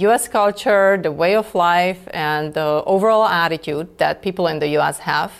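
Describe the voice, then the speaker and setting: Moderate pace, with a Czech accent. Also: woman. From Czech Republic. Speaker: lawyer and export control director. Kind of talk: interview.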